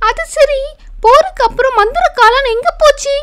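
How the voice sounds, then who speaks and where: A woman's cartoonish character voice, extremely high-pitched, at a fairly slow pace. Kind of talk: children's bedtime cartoon.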